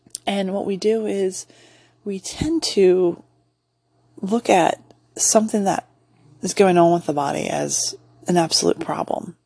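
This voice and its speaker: Here a woman speaks at a fairly slow pace. Long, frequent pauses break up her speech. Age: 40s. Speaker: podcast host and massage therapist. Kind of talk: casual solo monologue.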